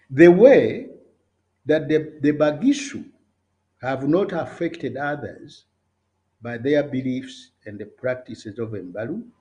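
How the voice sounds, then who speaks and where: A man with a Ugandan accent speaks at a fairly slow pace, leaving long, frequent pauses. His tone is dark and mellow, somewhat breathy, with big swings in loudness. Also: fairly high pitch for a man. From Uganda, Buganda (near Kisubi). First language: Luganda. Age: 70s. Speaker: political commentator. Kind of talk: political speech. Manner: halting, with repetitions.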